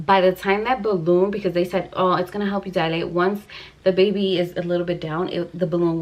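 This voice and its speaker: Against noticeable background noise, a woman talks at a fairly quick pace in a medium-pitched, monotone, flat delivery. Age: 30s. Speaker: vlogger. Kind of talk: casual storytelling vlog. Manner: emotional.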